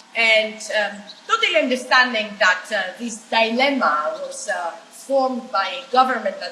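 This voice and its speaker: A woman talks at a high pitch and a fairly slow pace, with very wide pitch swings. Audible room echo and noticeable background noise fill the recording. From Greece. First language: Greek. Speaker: political activist. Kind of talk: panel discussion.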